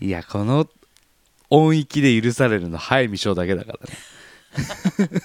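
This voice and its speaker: The sound is dry and close, with no echo. A man's pitch swings very widely. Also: medium pitch for a man, fairly slow pace. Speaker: podcast co-host. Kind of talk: casual chat.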